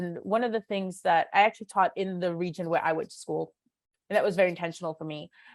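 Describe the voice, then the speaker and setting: A woman talks at a fairly quick pace and medium pitch, with ordinary pitch variation. The recording is very clean with a silent background and a dry, close sound with no echo. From New York City (Queens), moved from Moscow at seven. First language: Russian. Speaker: teacher. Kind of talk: interview. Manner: hesitant, many fillers.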